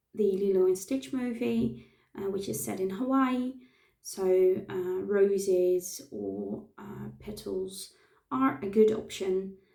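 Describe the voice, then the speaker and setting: In a dark, mellow tone, a woman of medium pitch speaks at a very slow pace, her pitch swinging very widely. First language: not English. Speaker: face painter. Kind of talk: tutorial. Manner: halting, many fillers.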